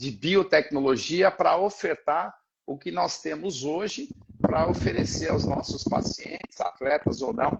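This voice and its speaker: This man talks at a high pitch, his intonation lively. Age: 60s. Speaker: physiotherapist. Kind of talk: panel discussion. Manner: halting.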